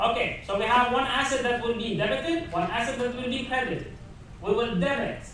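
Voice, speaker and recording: The speech moves at a fairly quick pace. Audible room echo and noticeable background noise surround it. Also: man, extremely high pitch for a man, ordinary pitch variation. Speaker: university professor. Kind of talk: lecture. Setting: classroom with students. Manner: fast; halting, with self-corrections.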